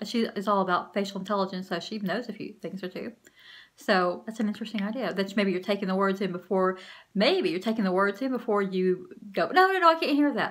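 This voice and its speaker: A woman's medium-pitched voice, animated in tone, at a very fast pace with ordinary pitch variation. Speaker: empowerment coach vlogger. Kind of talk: motivational vlog talk to camera.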